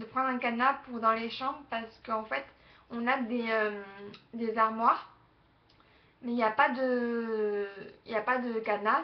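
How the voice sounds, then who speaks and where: This woman speaks at a fairly high pitch. Her intonation stays flat and monotone. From southern France, Aix-en-Provence. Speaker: vlogger. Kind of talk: casual webcam vlog. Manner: hesitant, many fillers.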